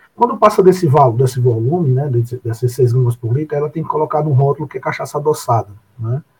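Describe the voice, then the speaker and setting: With a fairly high pitch for a man, he talks at a fairly quick pace, somewhat breathy and with lively intonation. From Brazil, Paraíba (Areia). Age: 40s. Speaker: food science professor. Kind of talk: interview. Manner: halting, many fillers.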